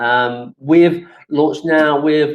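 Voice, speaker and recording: This is a man with a London accent. His pitch is fairly high. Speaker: webinar presenter, supplier manager at events marketplace. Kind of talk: webinar presentation. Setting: online webinar. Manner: hesitant, many fillers.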